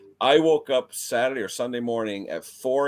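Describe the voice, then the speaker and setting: A man with an ordinary speaking voice and a medium pitch talks at a fairly slow pace with ordinary pitch variation. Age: 50s. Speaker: small engine repair youtuber. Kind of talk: live stream chat. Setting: live stream.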